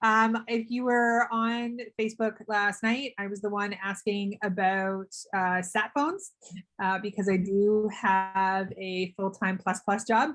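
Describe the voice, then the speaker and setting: Over music in the background, a woman with a Canadian accent speaks at a very slow pace, medium in pitch and fairly even in intonation. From Canada. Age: young. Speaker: pilgrim and author on group call. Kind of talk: casual group video call introduction. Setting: video call.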